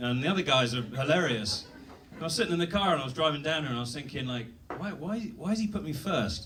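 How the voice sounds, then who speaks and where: A man speaks with very wide pitch swings. There is noticeable background noise and audible room echo. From Britain. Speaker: stand-up comedian. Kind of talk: stand-up. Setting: stage with audience.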